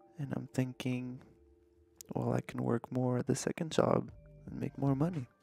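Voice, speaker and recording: A man speaks at a moderate pace. The sound is dry with no echo, and faint music plays in the background. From Canada, Montreal. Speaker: vlogger. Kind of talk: casual talk to camera, vlog. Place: home room. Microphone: studio mic.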